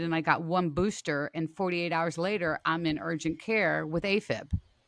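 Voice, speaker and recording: A woman with a fairly low pitch and ordinary pitch variation speaks in an ordinary speaking voice. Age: 60s. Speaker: online strength and health coach. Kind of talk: casual chat.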